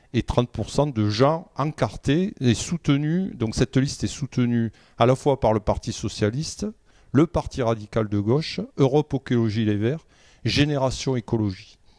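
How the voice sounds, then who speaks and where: Recorded dry and close with no echo against a quiet background, a man of medium pitch speaks at a fairly slow pace in a dark, mellow tone with ordinary pitch variation. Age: 60s. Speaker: local election candidate. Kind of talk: political interview. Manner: halting, many hesitations.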